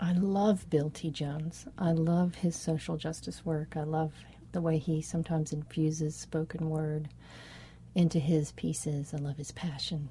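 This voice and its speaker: A woman with a very deep, low, somewhat breathy voice and a dark, mellow tone speaks at a moderate pace in a flat monotone. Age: 40s. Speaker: dancer. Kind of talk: interview. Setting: farmer's market.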